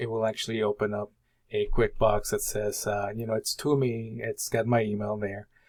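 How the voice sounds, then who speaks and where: Male speech at a moderate speed, very cleanly recorded against a silent background. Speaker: college instructor. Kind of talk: tutorial. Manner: halting.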